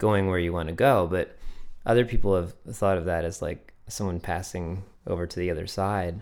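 This man has a very deep, low voice and an American accent. He talks at a moderate pace. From Connecticut, New England. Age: 30s. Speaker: singer-songwriter. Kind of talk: interview. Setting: studio. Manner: halting.

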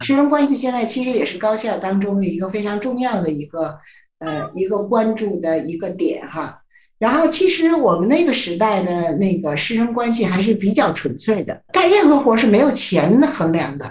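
A woman with a fairly high, somewhat breathy voice makes very wide pitch swings. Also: moderate pace. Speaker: psychology professor. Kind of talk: interview. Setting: remote video interview.

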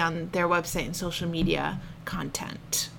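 The pace holds moderate. A bright, sharp tone carries the voice. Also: woman. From New Hampshire seacoast. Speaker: business owner, photographer. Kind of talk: interview. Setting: coworking space.

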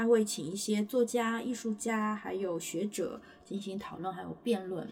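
The speaker is a woman with ordinary pitch variation. Her pace is fairly slow. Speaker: stand-in podcast host. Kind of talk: casual chat. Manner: laughs often, somewhat halting.

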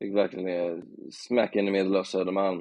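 The voice is a man's, pitched fairly low. He speaks in a flat monotone. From Bohuslän, Sweden. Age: 30s. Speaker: journalist. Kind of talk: casual chat.

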